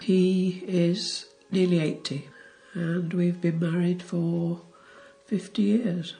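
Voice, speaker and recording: A woman with a fairly low voice speaks at a very slow pace. Music plays in the background. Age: 70s. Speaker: interviewee. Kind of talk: personal testimony. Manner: halting.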